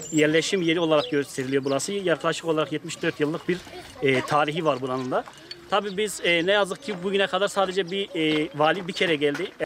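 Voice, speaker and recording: Fairly quick, high-pitched speech from a man, with ordinary pitch variation over noticeable background noise. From eastern Turkey, Muş. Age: 30s. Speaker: villager. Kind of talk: news interview.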